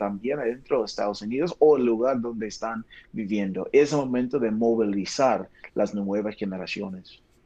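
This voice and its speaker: A man speaks with an English accent in a dark, mellow tone. His pace is moderate, with ordinary pitch variation. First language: English (speaking Spanish). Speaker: pastor, missions director. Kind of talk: interview.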